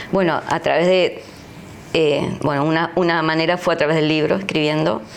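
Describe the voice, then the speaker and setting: A woman's very deep, low-pitched voice at a moderate pace, with very even loudness, fairly even intonation, and noticeable background noise. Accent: Argentine. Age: 60s. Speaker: pastor. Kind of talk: interview testimony.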